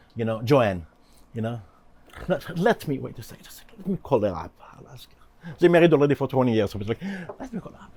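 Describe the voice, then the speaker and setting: A man's dark, mellow tone at a medium pitch, with vocal fry, very wide pitch swings, big swings in loudness, a very fast pace and long, frequent pauses. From Israel. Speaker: author. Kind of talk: interview. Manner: animated.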